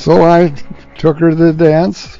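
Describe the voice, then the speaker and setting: A man's fairly high voice in a relaxed tone, with music in the background. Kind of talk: family storytelling, casual anecdote. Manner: relaxed, halting, conversational.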